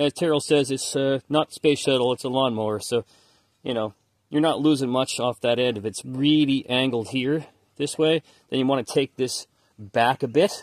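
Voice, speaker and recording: A man talks at a moderate pace with fairly even intonation. The sound is dry with no echo, and the background is quiet. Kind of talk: tutorial. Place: garage. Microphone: phone near.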